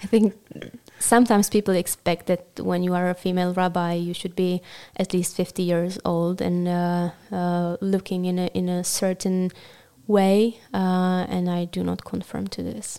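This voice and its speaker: A woman with a Czech accent speaks at a medium pitch in a dark, mellow tone with monotone, flat intonation. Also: moderate pace. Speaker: rabbinical student. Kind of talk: interview.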